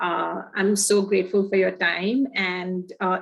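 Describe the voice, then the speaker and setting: A woman's medium-pitched voice in a flat monotone. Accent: Gujarati. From India, Pune, Maharashtra. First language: Gujarati. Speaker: conservation program director. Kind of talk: presentation. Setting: video call.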